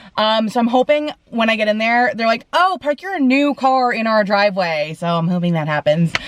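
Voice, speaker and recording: Intonation rises and falls in a lively way. The speed is moderate. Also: woman. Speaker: vlogger. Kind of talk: casual vlog talk to camera. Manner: loud, sounds like yelling.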